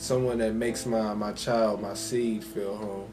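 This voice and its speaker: Music plays in the background as a man speaks at a very slow pace. His pitch is fairly low. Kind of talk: casual talk to camera.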